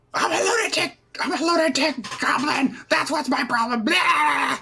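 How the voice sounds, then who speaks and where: Someone performs a put-on character voice at a high pitch. The pace stays moderate. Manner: screaming, wild, manic.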